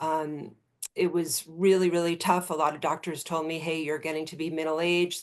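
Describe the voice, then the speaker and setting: A woman speaks in a very deep, low pitch against a quiet background. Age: 60s. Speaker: patient sharing recovery story. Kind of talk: testimony.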